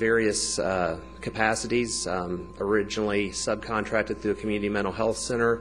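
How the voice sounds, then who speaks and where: Over music in the background, a man with a fairly low pitch speaks at a moderate pace with hardly any pauses. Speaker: teacher. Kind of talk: public comment at a government meeting. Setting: county commission meeting. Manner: unscripted, with some hesitations.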